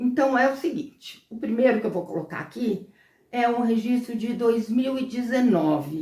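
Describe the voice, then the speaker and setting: Speaking at a fairly slow pace, a woman has an unremarkable speaking voice set at a fairly high pitch. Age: 60s. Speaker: lifestyle vlogger. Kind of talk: casual vlog monologue. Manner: conversational, with fillers.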